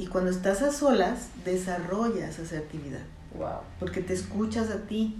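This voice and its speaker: With audible room echo and noticeable background noise, a woman speaks at a fairly slow pace in a medium pitch with ordinary pitch variation. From northern Mexico, Chihuahua. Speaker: psychologist. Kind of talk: interview on a faith podcast. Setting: therapist's office.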